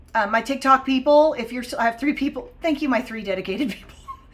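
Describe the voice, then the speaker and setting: A woman speaks with a high voice. Her pitch varies in an ordinary way. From Oklahoma and Texas, US. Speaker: English language teacher. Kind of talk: live-stream lesson. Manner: casual, many fillers (um, uh, like).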